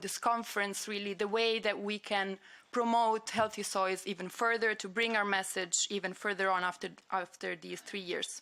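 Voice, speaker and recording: At a moderate pace, a woman with an Italian accent speaks in a bright, sharp tone, her medium pitch following a fairly even intonation on a very clean recording with a silent background. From Italy. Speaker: conference organizer. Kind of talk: conference opening remarks and housekeeping announcements. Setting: conference room with audience and livestream. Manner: hesitant, with frequent fillers.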